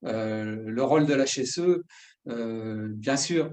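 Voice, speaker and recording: A man's voice with ordinary pitch variation. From southern France. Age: 50s. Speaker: workplace safety specialist. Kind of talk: educational talk. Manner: halting, many filler 'euh'.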